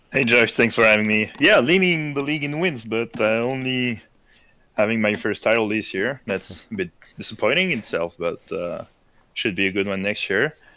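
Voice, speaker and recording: A man with a French accent speaks at a moderate pace and medium pitch. His tone is bright and sharp, with lively intonation. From France. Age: 20s. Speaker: sim racing driver and league admin. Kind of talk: casual chat.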